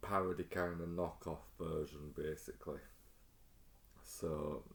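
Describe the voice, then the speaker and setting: A man speaks fairly slowly with a very deep, low pitch. Vocal fry is present, and his pitch varies in an ordinary way. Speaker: music collector youtuber. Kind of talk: casual show-and-tell video. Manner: soft-spoken, low; hesitant, many ums.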